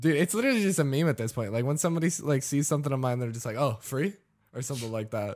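A man's fairly high voice, very fast pace, lively intonation. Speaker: podcast host and streamer. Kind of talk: casual chat. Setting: studio. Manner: sarcastic-sounding delivery.

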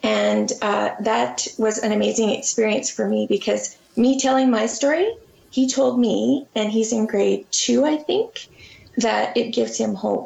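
A woman's fairly slow speech in a Canadian accent, with very even loudness. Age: 40s. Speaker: children's book author and illustrator. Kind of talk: interview. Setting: video call.

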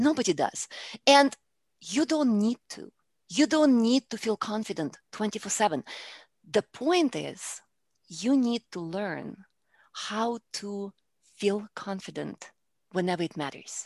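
A woman with a Russian accent speaks fairly slowly, with long, frequent pauses and big swings in loudness. Her fairly high voice makes very wide pitch swings, in a dry, close sound with no echo over a quiet background. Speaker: public speaking coach. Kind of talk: interview.

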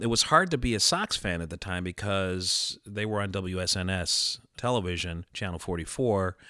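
Speaking at a moderate pace with hardly any pauses, a man with an American accent has a very deep, low pitch, ordinary pitch variation and a bright, sharp tone, in a very clean recording with a silent background. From Chicago. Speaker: baseball fan. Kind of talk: casual chat. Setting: studio.

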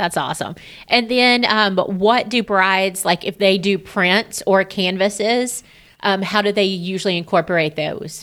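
The speech has a fairly slow pace and fairly even intonation. It is a normal speaking voice. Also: woman, medium pitch for a woman. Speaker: podcast host and wedding vendor. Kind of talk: casual interview chat.

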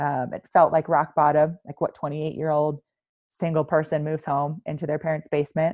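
In an American accent, a woman with a very deep, low pitch talks at a fairly quick pace in a flat monotone. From US East Coast. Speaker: military veteran and coach. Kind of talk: podcast interview.

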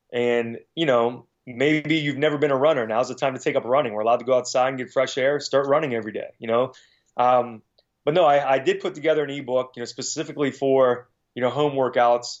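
At a fairly quick pace, a man with a medium pitch talks in an unremarkable speaking voice. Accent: American. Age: 40s. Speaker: strength and conditioning coach. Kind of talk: casual interview.

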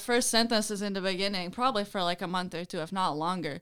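A woman talks fairly quickly at a medium pitch with ordinary pitch variation and a bright, sharp tone. The recording is very clean, with a silent background. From Belgium. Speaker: college field hockey player. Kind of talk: interview.

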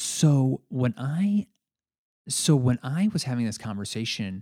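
A man speaks at a fairly slow pace in a warm tone. The recording is very clean, the background silent. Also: dry, close sound with no echo. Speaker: podcast host and coach. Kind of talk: solo monologue podcast. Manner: halting, filler words; conversational, warm.

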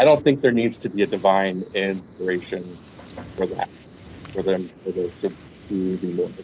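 A man with an American accent, fairly low in pitch, at a moderate pace, with ordinary pitch variation and long, frequent pauses. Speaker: guest. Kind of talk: casual interview chat.

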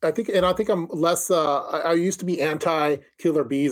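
A man with an ordinary speaking voice, fairly high in pitch with ordinary variation, is captured in a very clean recording with a silent background. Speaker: co-host prepper streamer.

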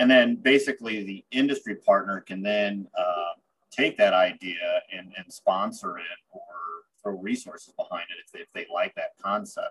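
A man with an American accent speaks at a moderate pace, with big swings in loudness. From central Illinois, US Midwest. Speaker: university technology transfer director. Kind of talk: interview.

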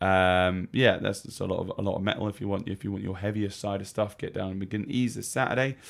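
This man speaks with an English accent at a fairly low pitch. His pace is very fast. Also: fairly even intonation. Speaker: radio co-host and gigging singer. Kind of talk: casual chat. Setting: radio studio. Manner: jokey, laughs often.

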